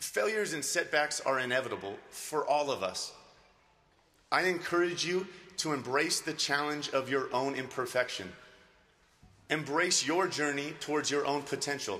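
Long, frequent pauses break up this man's speech. He goes at a moderate pace with ordinary pitch variation. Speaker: speaker. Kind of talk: commencement speech. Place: hall. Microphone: podium.

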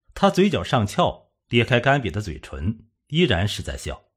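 Very wide pitch swings and a slightly husky edge, on a very clean recording with a silent background. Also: man, medium pitch for a man, moderate pace.

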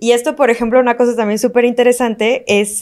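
Against a quiet background, a woman speaks with a fairly high pitch and fairly even intonation. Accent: Mexican. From Mexico. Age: 30s. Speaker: legal expert; podcast guest or host. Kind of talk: interview conversation; conversational podcast discussion. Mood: relaxed, smiling. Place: studio. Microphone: studio mic.

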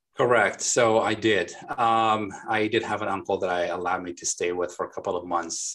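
A moderate pace and ordinary pitch variation against a quiet background. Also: man. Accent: Lebanese. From Lebanon. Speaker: remodeling company founder. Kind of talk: interview. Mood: friendly, smiling. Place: office. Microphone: video call.

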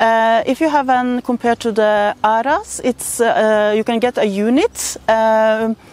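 A woman talks at a fairly slow pace. The sound is dry, with no echo. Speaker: interviewee. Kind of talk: interview answer. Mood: calm explanatory. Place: garden.

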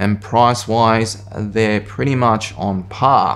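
Faint music plays behind a man whose fairly low voice moves at a very slow pace. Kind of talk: tutorial. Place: kitchen.

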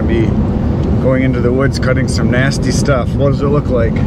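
A man at a fairly quick pace, with music in the background and a dry sound with no echo. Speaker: logger vlogger. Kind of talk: casual vlog chat. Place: car. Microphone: phone near.

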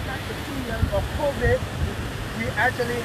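A man talks at a fairly slow pace. The sound is dry with no echo, over loud background noise. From Liberia. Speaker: official giving a site tour. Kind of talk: on-site interview. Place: waterside. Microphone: phone near.

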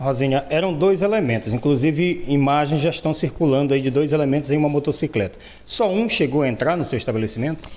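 A man talks at a very fast pace with hardly any pauses, in a fairly high pitch. His loudness stays very even and his pitch variation is ordinary. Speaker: TV reporter. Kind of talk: field news report and interview. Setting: outdoors on location. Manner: stammering in questions.

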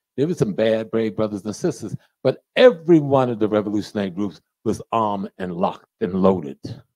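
Against a quiet background with a dry sound and no echo, a man talks at a fairly quick pace in a fairly low voice with a dark, mellow tone and lively intonation. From United States. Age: 70s. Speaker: professor and lecturer. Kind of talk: lecture. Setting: stage with audience. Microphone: handheld.

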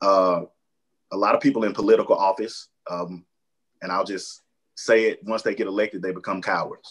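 Against a quiet background, a man talks in an American accent at a moderate pace. He leaves long, frequent pauses. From Alabama. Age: young. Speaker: mayor. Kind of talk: panel discussion. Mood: earnest, passionate. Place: home room. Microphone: webcam.

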